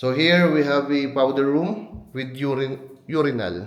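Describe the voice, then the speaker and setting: A man is heard with audible room echo. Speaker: real estate agent giving property tours. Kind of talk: walkthrough property tour. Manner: speaks minimally, restrained.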